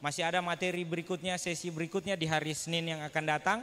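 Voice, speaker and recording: A man's bright, sharp voice, monotone and flat, at a very fast pace. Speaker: event organizer; event host, MC. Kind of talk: closing remarks. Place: hall.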